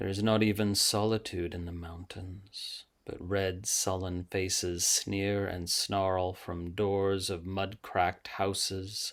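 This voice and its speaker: A man in a dramatic tone speaks very slowly with a very deep, low pitch, flat monotone intonation and hardly any pauses. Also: very clean recording, silent background. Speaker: yoga and tantra teacher and author. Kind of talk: poetry reading. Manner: slow, dramatic, hushed.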